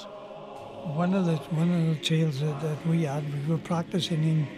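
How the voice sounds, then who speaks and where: A man with a South Welsh accent talks at a fairly slow pace with ordinary pitch variation, and noticeable background noise can be heard. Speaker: male voice choir member. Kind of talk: anecdote told in interview. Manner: casual, humorous.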